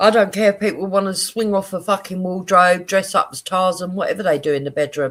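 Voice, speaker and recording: In a Cockney accent, the speech moves at a fairly quick pace in a very clean recording with a silent background. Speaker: live streamer. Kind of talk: casual livestream chat. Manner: animated.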